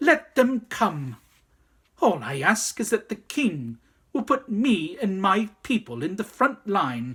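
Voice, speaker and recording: A shrill, put-on character voice with very wide pitch swings, a fairly slow pace and long, frequent pauses. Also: man, high pitch for a man. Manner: eager, bold.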